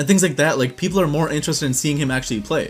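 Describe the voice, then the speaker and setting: Over background music, a man talks at a fairly high pitch with ordinary pitch variation. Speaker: YouTube advice creator. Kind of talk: tutorial. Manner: fast.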